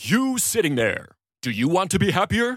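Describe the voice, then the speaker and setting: A man's put-on character voice, high for a man, with very wide pitch swings at a moderate pace. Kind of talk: promotional pitch. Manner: upbeat, salesy.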